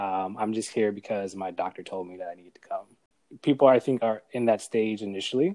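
A man with an American accent, fairly low-pitched in a dark, mellow tone, at a fairly quick pace with ordinary pitch variation and big swings in loudness. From New York, Brooklyn. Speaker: wellness coach. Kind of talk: casual chat.

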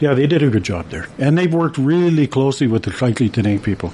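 A man speaks at a moderate pace in a medium pitch with very wide pitch swings. Background noise is noticeable. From Canada, Alberta and northern British Columbia. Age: 60s. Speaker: construction worker and amateur painter. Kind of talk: interview. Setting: radio studio. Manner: relaxed, hesitant with many fillers.

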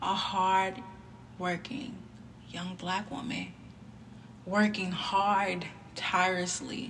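Speaking very slowly with long, frequent pauses, a woman uses a medium pitch and fairly even intonation. Noticeable background noise runs under her voice. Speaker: podcast host. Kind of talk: solo monologue podcast. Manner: monotone.

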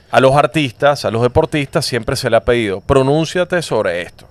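A man at medium pitch and moderate pace, ordinary pitch variation, dry and close with no echo. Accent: Venezuelan. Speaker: sports podcast host. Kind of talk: casual chat.

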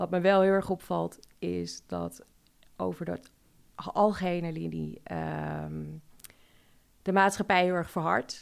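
The recording is very clean and the background silent. A woman talks fairly slowly. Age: 30s. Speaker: restaurant owner and patient fundraiser. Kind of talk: interview. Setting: studio.

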